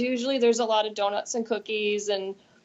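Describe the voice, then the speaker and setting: This is a normal speaking voice. It has an American accent. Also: woman. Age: 40s. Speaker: nurse. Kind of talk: interview.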